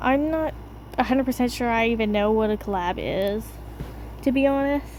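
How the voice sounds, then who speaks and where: A woman mumbles at a fairly quick pace, her fairly high pitch held in fairly even intonation. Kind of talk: casual Q&A voiceover. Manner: mumbled.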